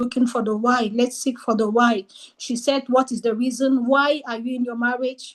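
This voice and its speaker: Here a woman speaks at a moderate pace in a French accent. Her pitch is high and her intonation is monotone and flat. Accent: French-speaking non-native English. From French-speaking region. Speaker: book club presenter. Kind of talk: book discussion presentation.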